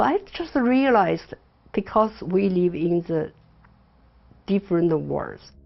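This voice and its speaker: Long, frequent pauses break up this woman's fairly slow speech, delivered in a Chinese accent. Her pitch sits in the medium range, with lively intonation. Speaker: interviewee, daughter of Mao's secretary. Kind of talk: interview, recollection. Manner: halting, with frequent fillers.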